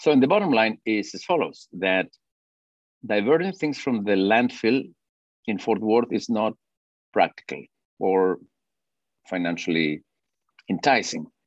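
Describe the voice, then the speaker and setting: Against a quiet background, a man with a Spanish accent and medium pitch talks at a fairly slow pace with lively intonation and long, frequent pauses, the sound dry and close with no echo. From Peru. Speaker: orchestra conductor and compost business founder. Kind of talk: casual interview. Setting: video call.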